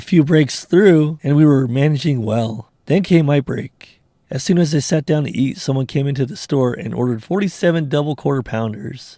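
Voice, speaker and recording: A man with a dark, mellow tone and a fairly high pitch speaks at a moderate pace, with ordinary pitch variation and hardly any pauses. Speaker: reddit story narrator. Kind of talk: reddit story reading with casual commentary.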